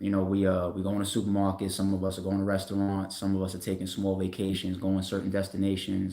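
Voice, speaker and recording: Speaking in a New York accent, a man with a fairly low pitch talks at a very fast pace. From Staten Island, New York. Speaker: battle rap league owner. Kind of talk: casual livestream talk. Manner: casual, animated.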